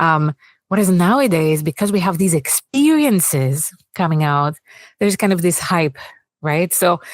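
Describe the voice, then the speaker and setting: The intonation is lively while the loudness stays very even. The sound is dry and close, with no echo. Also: woman. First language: Greek. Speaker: AI product manager and author. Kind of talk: fireside chat interview. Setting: stage with audience.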